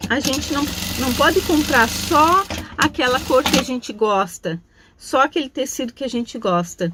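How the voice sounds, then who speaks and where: Against noticeable background noise, a woman speaks at a moderate pace in a high pitch with very wide pitch swings. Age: 60s. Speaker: craft teacher. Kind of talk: tutorial. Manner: casual, chatty.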